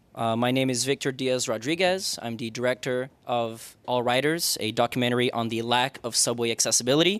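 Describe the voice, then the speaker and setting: In a normal speaking voice, a man keeps to a moderate pace. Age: 20s. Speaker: documentary filmmaker. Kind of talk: public comment speech. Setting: public board meeting.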